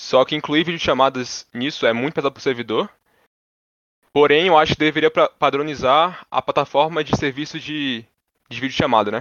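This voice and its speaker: At a moderate pace, a man with a fairly high pitch uses an ordinary speaking voice and fairly even intonation. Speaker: computer engineering student. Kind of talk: casual interview.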